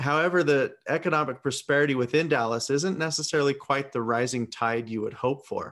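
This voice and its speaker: Against a quiet background, a man talks at a fairly quick pace in an ordinary speaking voice with ordinary pitch variation. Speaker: podcast co-host. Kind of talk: interview.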